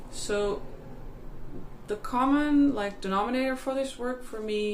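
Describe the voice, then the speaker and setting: A woman with a Dutch accent speaks at a fairly slow pace, with audible room echo. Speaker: healer. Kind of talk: personal testimony. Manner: halting.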